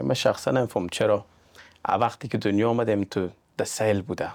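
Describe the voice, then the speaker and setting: Recorded very cleanly against a silent background, a man's fairly low voice comes through dry and close with no echo as he speaks at a very fast pace. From Iran, Afghan family from Mazar-i-Sharif. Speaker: real estate agent. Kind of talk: podcast interview.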